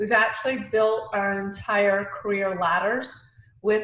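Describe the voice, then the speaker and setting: Moderately paced female speech, pitched mid-range, with room echo clearly present. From Atlanta, US South. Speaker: recruiting leader. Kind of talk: panel discussion.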